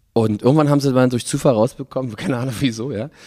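This voice has a dark, mellow tone and ordinary pitch variation, delivered at a very fast pace. The sound is dry and close, with no echo. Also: man. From Berlin, Germany. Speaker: musician. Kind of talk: casual interview. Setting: studio.

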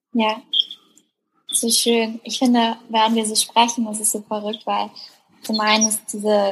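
Somewhat breathy, a woman with a fairly high pitch speaks at a fairly slow pace. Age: 20s. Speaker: blogger and workshop leader. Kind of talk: casual chat.

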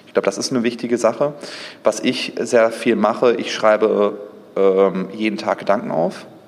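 Against noticeable background noise, a man talks at a medium pitch and moderate pace with ordinary pitch variation. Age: 30s. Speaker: entrepreneur and digital executive. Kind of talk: interview. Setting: event venue overlooking Düsseldorf.

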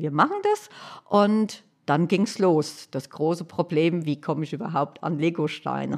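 Recorded very cleanly with a silent background, a woman speaks at a moderate pace in a fairly low pitch with ordinary pitch variation. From Hesse, Germany (Hanau). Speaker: accessibility activist, wheelchair user. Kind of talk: interview. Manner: cheerful, often laughing.

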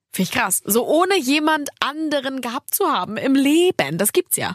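A woman speaks at a moderate pace in a high pitch with very wide pitch swings. The sound is dry and close, with no echo. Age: 20s. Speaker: podcast host. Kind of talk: casual chat.

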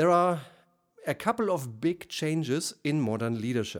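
A man with a German accent, fairly high in pitch, with very wide pitch swings, in a very clean recording with a silent background. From Germany. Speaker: leadership coach. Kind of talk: solo podcast monologue. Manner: formal.

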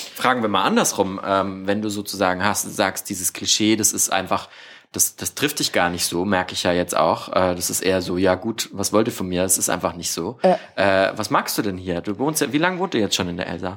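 This man has an ordinary speaking voice with a fairly low pitch. He talks at a fairly quick pace with ordinary pitch variation. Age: 20s. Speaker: podcast host. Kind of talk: interview. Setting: guest's family living room.

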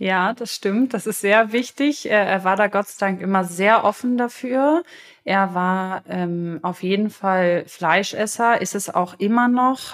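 Over a silent background on a very clean recording, a woman with a medium pitch talks at a very slow pace with ordinary pitch variation. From Germany, Potsdam. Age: 20s. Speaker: interview guest, recently married bride. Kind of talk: casual interview.

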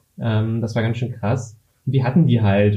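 A man speaks at a medium pitch, with a plain, everyday voice. His pace is fairly quick and his pitch varies in an ordinary way. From Berlin, Germany. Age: 20s. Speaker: former games video editor. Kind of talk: casual chat.

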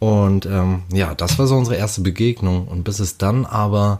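A man's voice, fairly low in pitch. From Hamburg, northern Germany. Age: 30s. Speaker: interviewee telling couple's story. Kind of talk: personal storytelling.

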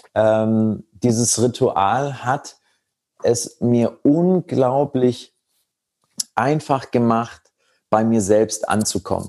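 Very slowly and with long, frequent pauses, a man speaks at medium pitch in a dark, mellow tone, keeping very even loudness and ordinary pitch variation. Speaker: meditation and tantra teacher. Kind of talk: casual interview.

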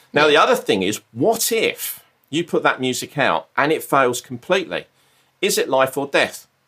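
In a southern English accent, a man speaks on a very clean recording with a silent background. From southern England. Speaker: mindfulness coach and former artist manager. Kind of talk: casual interview.

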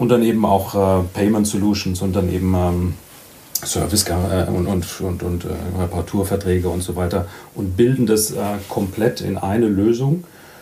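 Over noticeable background noise and audible room echo, a man talks at a fairly slow pace in a very deep, low pitch with fairly even intonation. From Germany, Badische Bergstraße. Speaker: truck industry manager. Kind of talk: casual interview. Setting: remote call. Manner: halting, repeats words.

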